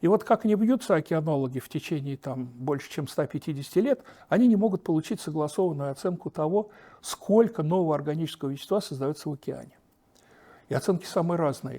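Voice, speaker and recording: The man's intonation is lively and his pace very fast. The recording is very clean, with a silent background. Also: fairly high pitch for a man. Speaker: oceanologist. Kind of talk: interview. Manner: animated.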